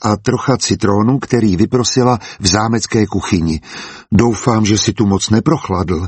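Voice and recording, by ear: The passage is read aloud in a natural voice, and the pitch varies in an ordinary way.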